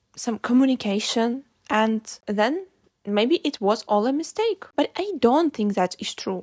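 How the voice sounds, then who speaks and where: The speaker has a non-native accent and lively intonation at a fairly slow pace. The sound is dry and close, with no echo. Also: woman. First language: not English. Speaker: vlogger. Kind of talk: reflective monologue.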